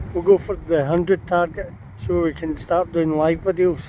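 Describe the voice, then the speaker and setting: Speaking at a fairly slow pace, a man with a Scottish accent has a high pitch and ordinary pitch variation. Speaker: paranormal investigator vlogger. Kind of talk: casual vlog walkthrough. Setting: outdoors at castle ruins.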